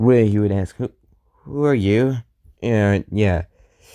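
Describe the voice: This is plain reading aloud with ordinary pitch variation. The background is quiet.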